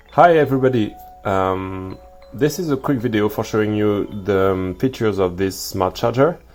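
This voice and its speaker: A man speaks at a fairly low pitch and a moderate pace with lively intonation. Music plays in the background. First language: French. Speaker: DIY electronics maker. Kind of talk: tutorial. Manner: hesitant, many fillers.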